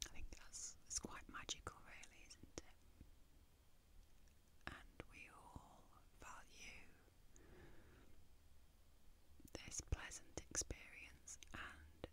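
A soft-spoken, whispering woman, big swings in loudness, long, frequent pauses and noticeable background noise. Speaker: ASMR content creator. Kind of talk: soft-spoken personal talk. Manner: close, slow, soft whisper. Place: home room. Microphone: studio mic.

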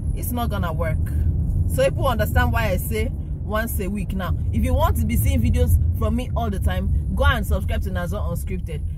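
The sound is dry with no echo, the pitch varies in an ordinary way, and loud background noise runs underneath. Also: woman. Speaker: vlogger driving. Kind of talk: casual vlog chat. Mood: frustrated, animated. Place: car. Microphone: phone near.

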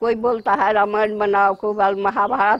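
Very slow speech from a woman over a quiet background. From Madhubani, Bihar, India. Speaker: master Mithila painter. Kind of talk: interview answer. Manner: conversational, narrating her life and work. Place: home room. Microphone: lapel.

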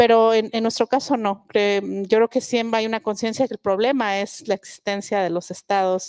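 At a moderate pace with hardly any pauses, a woman speaks in a fairly high pitch with fairly even intonation, the sound dry with no echo against a quiet background. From southern Mexico, Mixe village in Oaxaca; Oaxaca, Mexico. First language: Mixe (speaking Spanish). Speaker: linguist and writer. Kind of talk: public talk on stage. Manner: frequent hesitations. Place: stage. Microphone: handheld.

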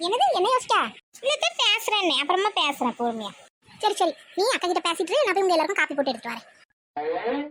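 In a cartoonish character voice, a woman speaks at a moderate pace with an extremely high, squeaky pitch and very wide pitch swings. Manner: sharp-tongued, scolding.

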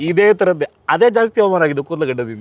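A man speaks with very wide pitch swings. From Bengaluru, Karnataka. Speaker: film actor and dubbing artist. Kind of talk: casual interview.

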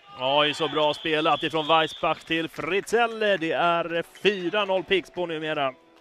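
Faint music plays behind a man with a fairly high pitch and ordinary pitch variation, in a dry sound with no echo. His pace is very slow, yet he leaves hardly any pauses. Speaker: sports commentator. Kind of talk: live sports commentary (highlights reel voice-over). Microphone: headset.

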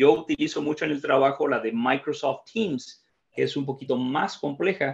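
This man's voice is fairly high in pitch, with vocal fry and very wide pitch swings. He moves at a moderate pace over a quiet background. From Mexico. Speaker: training facilitator, IT professional; training facilitator. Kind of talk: tutorial. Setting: video call. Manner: halting. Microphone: video call.

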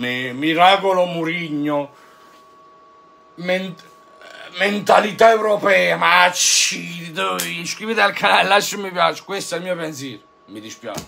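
Long, frequent pauses break up a man's animated tone, delivered at a high pitch. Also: ordinary pitch variation, fairly slow pace, big swings in loudness. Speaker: football YouTuber, Juventus fan; football YouTuber. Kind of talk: fan rant. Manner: animated, exasperated. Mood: mocking, sarcastic. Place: home room.

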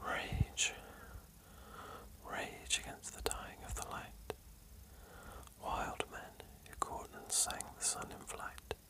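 Whispering at a very slow pace, the speaker leaves long, frequent pauses over noticeable background noise. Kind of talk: poetry reading. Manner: whispered.

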